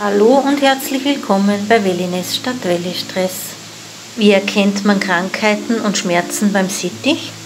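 A woman talks at a fairly slow pace. Noticeable background noise is heard behind her. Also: ordinary pitch variation. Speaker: pet care vlogger. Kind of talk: tutorial. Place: forest. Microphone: phone near.

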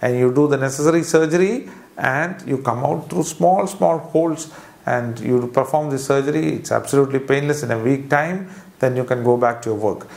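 With a Keralan accent, a man talks at a moderate pace with ordinary pitch variation. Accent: Indian English (Malayali). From Kerala, India. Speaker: surgeon. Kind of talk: medical explainer video. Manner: hesitant, with frequent fillers. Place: office. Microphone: lapel.

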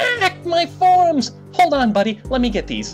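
Over clear background music, a man performs a put-on character voice at a moderate pace. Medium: read story. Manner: bright, chummy, salesy.

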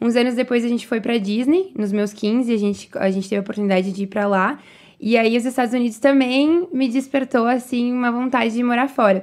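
A high-pitched woman speaks against a quiet background. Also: ordinary pitch variation, fairly quick pace. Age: 20s. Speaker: entrepreneur; guest. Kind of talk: interview. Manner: animated. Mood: relaxed storytelling. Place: studio. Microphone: studio mic.

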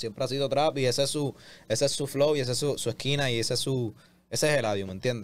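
A man talking at a very fast pace, his intonation fairly even. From Puerto Rico. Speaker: reggaeton artist. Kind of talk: interview. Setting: studio. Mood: pleased, relaxed. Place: studio. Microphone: studio mic.

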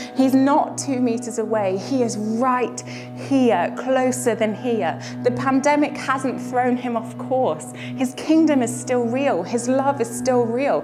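Over clear music in the background, a woman speaks at a very slow pace with hardly any pauses. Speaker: spoken word poet. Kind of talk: spoken word poetry performance. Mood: earnest, expressive, hopeful. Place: home room.

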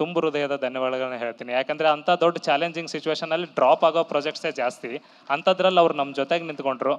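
A man speaks at a fairly high pitch against a quiet background. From north Karnataka (Gadag district); Karnataka. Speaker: film director. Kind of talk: stage speech. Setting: stage with audience. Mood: grateful, reflective. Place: stage. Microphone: handheld.

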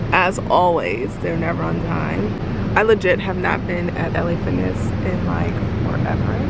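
A woman's voice over loud background noise. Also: dry sound with no echo. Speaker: vlogger. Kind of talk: casual vlog chat. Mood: relaxed, chatty. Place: car. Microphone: phone near.

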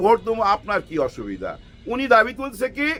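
With music playing in the background, a man speaks in an animated tone. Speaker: political commentator. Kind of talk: political commentary monologue. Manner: animated, rhetorical.

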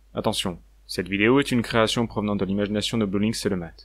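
A man with a fairly low pitch speaks very fast with fairly even intonation. The recording is very clean, with a silent background. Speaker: fan-fiction voice actor playing a recruit. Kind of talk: sci-fi audio drama, in-character narration. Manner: earnest, reflective, conversational.

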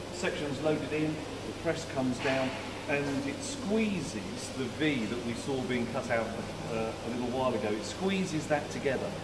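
A man talks at a moderate pace while loud background noise fills the clip. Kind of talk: interview answer. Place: factory. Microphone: camera far.

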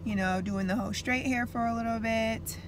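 A woman's voice in a dry, echo-free recording with noticeable background noise. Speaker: vlogger. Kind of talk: casual vlog chat. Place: car. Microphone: phone near.

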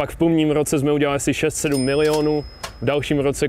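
Light background noise sits under a man's voice with no echo, the sound dry. He talks at a moderate pace. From Czechia, Zlín; Czechia. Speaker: entrepreneur; interview guest. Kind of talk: casual interview. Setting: rented luxury apartment.

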